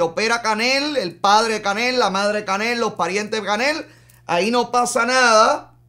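With a quiet background, a man delivers his words at a fairly slow pace. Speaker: live show host commentator. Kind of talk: political commentary. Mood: indignant, sarcastic. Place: studio.

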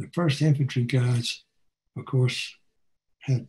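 A man speaks with an American accent and ordinary pitch variation. His voice is somewhat breathy. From United States. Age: 80s+. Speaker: war veteran. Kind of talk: talk presentation over video call. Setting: video call. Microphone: webcam.

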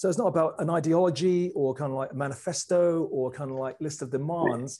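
A man talks at a fairly quick pace, his pitch varying in an ordinary way, with the background quiet. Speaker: speaker. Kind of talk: lecture. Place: home room. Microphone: lapel.

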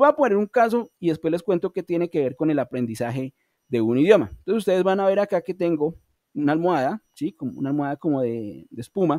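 Very fast and high-pitched, a man with a Colombian accent and a dark, mellow tone swings his pitch very widely in a dry sound with no echo over a quiet background. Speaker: online English teacher. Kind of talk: online class lecture. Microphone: video call.

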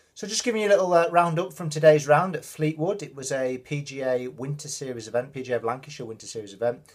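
A man speaks with a somewhat breathy voice and ordinary pitch variation. The background is quiet. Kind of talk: casual vlog chat. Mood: relaxed, mildly pleased. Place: home room. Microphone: phone near.

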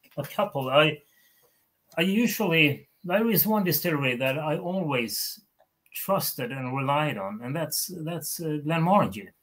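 Speaking with a Swedish accent, a man talks at a fairly slow pace in a fairly high voice with lively intonation. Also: long, frequent pauses. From Sweden. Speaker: whisky author; guest. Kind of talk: casual chat. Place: home room.

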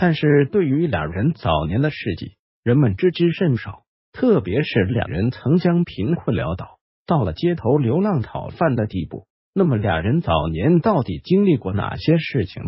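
Very wide pitch swings run through this man's voice. He takes a fairly slow pace. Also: medium pitch for a man. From China. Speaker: history video narrator. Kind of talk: scripted narration.

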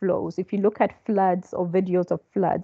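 This woman's voice has a dark, mellow tone. Vocal fry runs through it. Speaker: lecturer. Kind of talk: lecture. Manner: halting, many fillers.

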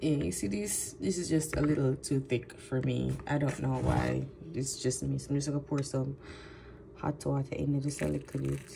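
The background carries noticeable noise. A woman's speech moves at a moderate speed. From Jamaica. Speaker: vlogger. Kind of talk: casual vlog. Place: kitchen. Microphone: phone near.

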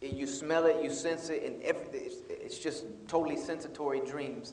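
A man with an American accent talks at a fairly slow pace, with audible room echo and light background noise. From US South, South Carolina. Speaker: speaker. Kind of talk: lecture. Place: hall. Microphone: lapel.

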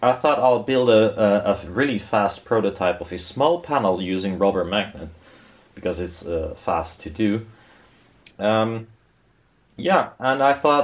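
Speaking at a fairly slow pace with long, frequent pauses, a man uses a fairly low pitch. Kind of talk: casual build commentary. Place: workshop. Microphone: camera far.

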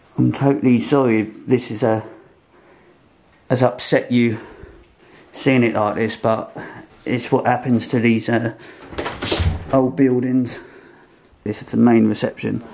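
A man's monotone, flat delivery at a fairly slow pace, with long, frequent pauses and noticeable background noise. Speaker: urban explorer vlogger. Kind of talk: casual vlog chat. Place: hall. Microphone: phone near.

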